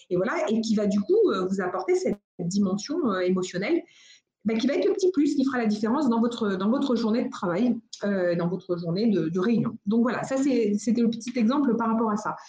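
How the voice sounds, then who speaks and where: Fairly high-pitched female speech at a fairly quick pace, with lively intonation and very even loudness. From United States. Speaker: entrepreneur, venue founder. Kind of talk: interview. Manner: hesitant, many fillers and repetitions.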